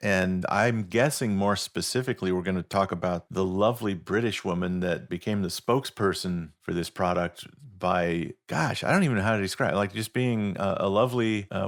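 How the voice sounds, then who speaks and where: Fairly quick and with hardly any pauses, a man talks in an unremarkable speaking voice at a fairly low pitch with fairly even intonation. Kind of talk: podcast co-host talk.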